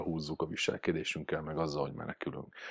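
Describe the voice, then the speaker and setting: Vocal fry at a fairly quick pace over a quiet background. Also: man. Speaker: dog trainer. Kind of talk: casual chat.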